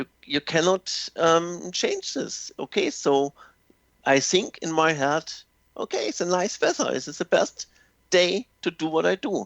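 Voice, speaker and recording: This man speaks with a German accent. His pace is fairly slow. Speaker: language teacher. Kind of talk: radio interview. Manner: halting.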